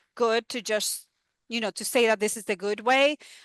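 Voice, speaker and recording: With a Spanish accent, a woman talks in a fairly high pitch with ordinary pitch variation and a bright, sharp tone, over a quiet background with dry, close sound and no echo. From Dominican Republic. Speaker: university educator and researcher. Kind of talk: talk and Q&A discussion.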